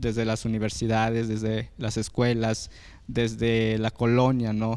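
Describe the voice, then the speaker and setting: A man speaks against a quiet background. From Mexico, Oaxaca. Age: young. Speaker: youth activist and former electoral councillor; former electoral councillor. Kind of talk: panel discussion. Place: studio. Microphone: handheld.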